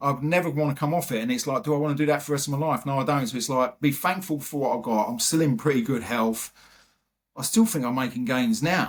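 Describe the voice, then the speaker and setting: In an English accent, a man with a fairly high pitch talks at a very fast pace with ordinary pitch variation. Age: 50s. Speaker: retired firefighter and bodybuilder. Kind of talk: podcast interview.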